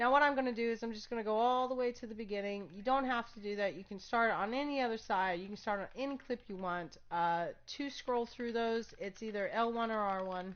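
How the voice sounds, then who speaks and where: With an ordinary speaking voice, a woman of fairly high pitch talks at a fairly quick pace with hardly any pauses, ordinary pitch variation and big swings in loudness. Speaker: gaming streamer. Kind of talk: tutorial. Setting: live stream.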